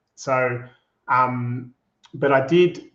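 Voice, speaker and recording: A man speaks with a slight Australian accent. His intonation is monotone and flat. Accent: Australian, slight, with a broad Bogan tinge. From Australia, Melbourne. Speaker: agency co-founder, former radio host. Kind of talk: interview.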